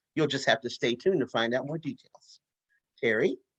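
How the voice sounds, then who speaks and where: A man talks in an animated tone with ordinary pitch variation, recorded dry and close with no echo. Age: 60s. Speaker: peace and justice organizer. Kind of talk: webinar presentation.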